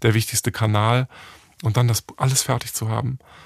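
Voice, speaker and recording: Monotone and flat, a man's medium-pitched voice moves at a fairly quick pace in a very clean recording with a silent background and a dry, close sound with no echo. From Germany, Hamburg. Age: 40s. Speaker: entrepreneur. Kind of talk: interview.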